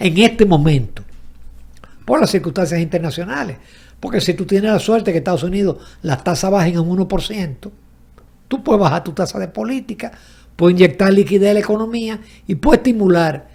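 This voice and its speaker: A man's high-pitched voice at a fairly quick pace, lively in intonation, broken by long, frequent pauses. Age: 70s. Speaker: economist and journalist. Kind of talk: interview conversation.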